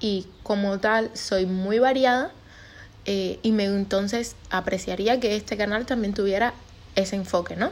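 A woman with a medium-pitched voice speaks fairly slowly, keeping her intonation fairly even. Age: 20s. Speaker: podcaster and neurobiology student. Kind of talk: casual monologue.

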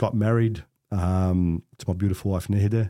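In an Australian accent, a man speaks with a dark, mellow tone at a fairly low pitch and fairly even intonation, on a very clean recording with a silent background. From Australia, Melbourne (Coburg). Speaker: real estate director. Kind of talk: casual interview conversation.

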